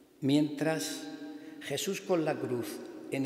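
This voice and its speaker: Audible room echo surrounds a man's fairly high voice. He speaks at a fairly slow pace. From Turre, Almería, Andalusia; Andalusia. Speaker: Holy Week proclaimer; speaker. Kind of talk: formal proclamation speech. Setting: church. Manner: formal. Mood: solemn, devotional. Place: church. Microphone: podium.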